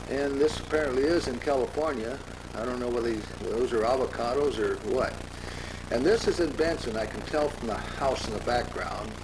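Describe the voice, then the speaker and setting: At a fairly quick pace, a man with a medium pitch is heard over noticeable background noise with audible room echo. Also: ordinary pitch variation. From US Midwest, Omaha, Nebraska. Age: 90s. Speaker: family historian. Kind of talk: home movie commentary. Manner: halting.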